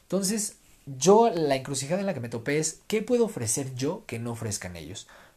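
Speaking at a fairly quick pace, a man with a fairly high pitch and a dark, mellow, somewhat breathy tone makes very wide pitch swings and big swings in loudness on a very clean recording with a silent background. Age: 20s. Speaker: podcast host and political columnist. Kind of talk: solo podcast monologue.

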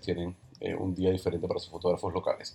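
Somewhat breathy, a man talks at a very fast pace. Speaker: podcast host and photographer. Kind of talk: casual interview podcast.

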